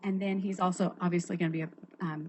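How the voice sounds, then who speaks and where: A woman speaks at a medium pitch in a somewhat breathy voice. Her pace is fairly quick and her intonation fairly even. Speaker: school gifted program coordinator. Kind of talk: staff report at school board meeting. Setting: school board meeting. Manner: fast.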